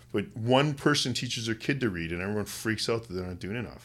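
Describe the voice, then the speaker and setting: This man has a western Canadian accent and a fairly low pitch. His intonation is lively, on a very clean recording with a silent background. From Canada, West Kootenays, British Columbia. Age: 40s. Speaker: university volleyball coach. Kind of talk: casual chat.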